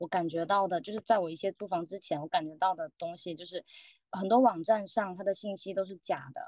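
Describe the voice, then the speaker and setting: A woman's medium-pitched voice, dark and mellow with ordinary pitch variation, comes through in a dry, close sound with no echo. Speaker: roundtable participant. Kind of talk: casual chat. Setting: video call.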